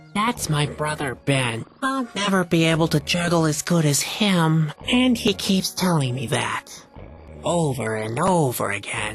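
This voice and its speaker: Over clear music in the background, a put-on character voice speaks at a middle pitch and a fairly slow pace. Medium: video game. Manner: mopey, sarcastic.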